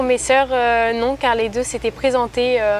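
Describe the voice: Speaking at a moderate pace, a woman keeps her high voice with little pitch movement.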